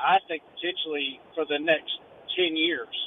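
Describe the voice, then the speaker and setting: A man with an American accent talks in a fairly high pitch and a monotone, flat intonation. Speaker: caller working in local development. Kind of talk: call-in discussion. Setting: phone call.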